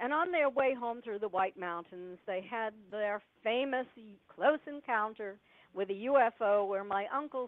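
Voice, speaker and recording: The delivery is fairly slow, with lively intonation. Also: woman. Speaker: UFO researcher and author. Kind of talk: interview storytelling. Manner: quiet, hard to hear.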